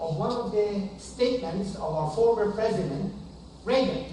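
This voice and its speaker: Loud speech with ordinary pitch variation carries audible room echo and noticeable background noise. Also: man. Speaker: audience member, retired college dean. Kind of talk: public comment. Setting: speaking without microphone to audience.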